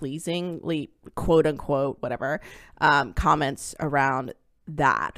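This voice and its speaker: A woman speaks at a fairly slow pace. The recording is very clean with a silent background. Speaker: academic researcher and podcast host. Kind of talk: casual chat. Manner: animated.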